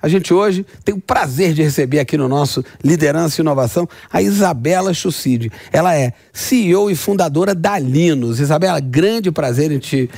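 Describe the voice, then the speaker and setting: A man's fairly high-pitched voice with lively intonation, very even loudness and a moderate pace. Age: 50s. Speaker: business podcast host. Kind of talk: interview. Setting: studio.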